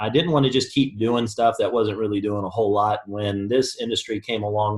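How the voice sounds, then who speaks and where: At a very fast pace, a somewhat breathy man talks with a fairly low pitch. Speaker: network marketing presenter. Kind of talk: sales pitch. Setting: online conference call.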